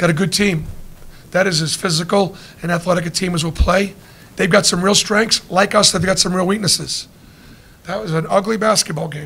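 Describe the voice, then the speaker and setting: A man's high voice at a fairly quick pace, the intonation fairly even. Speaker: basketball coach. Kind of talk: press conference answer. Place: hall.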